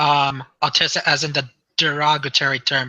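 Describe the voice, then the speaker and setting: A man speaks at a moderate pace with an American accent. His pitch is fairly high. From western Michigan. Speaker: YouTuber. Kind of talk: casual group video chat. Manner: halting, many fillers.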